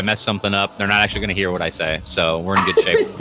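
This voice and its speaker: Noticeable background noise surrounds a man with an American accent. He talks at a very fast pace. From United States. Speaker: esports commentator. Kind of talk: live commentary. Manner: animated.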